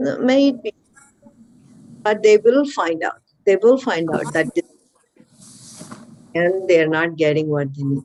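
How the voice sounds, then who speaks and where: Fairly slow speech with long, frequent pauses. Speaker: spiritual teacher. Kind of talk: spiritual discussion.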